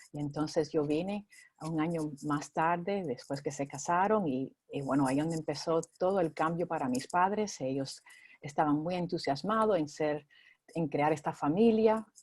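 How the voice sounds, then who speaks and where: Her voice is very deep and low for a woman, with ordinary pitch variation at a moderate pace. The recording is very clean, with a silent background. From Cuba, Spain, then California. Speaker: minister. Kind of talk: interview. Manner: halting.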